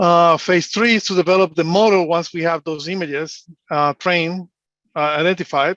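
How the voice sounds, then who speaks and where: A man with a Spanish accent and a high pitch at a moderate pace, in dry, close sound with no echo against a quiet background. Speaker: engineer and analyst. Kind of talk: conference presentation. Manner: hesitant, many fillers.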